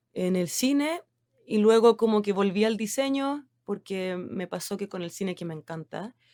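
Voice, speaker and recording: Speaking at a fairly slow pace with a Chilean accent, a woman of medium pitch has a dark, mellow tone, lively intonation and big swings in loudness, in a dry, close sound with no echo. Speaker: designer. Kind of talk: interview. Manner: hesitant, many fillers.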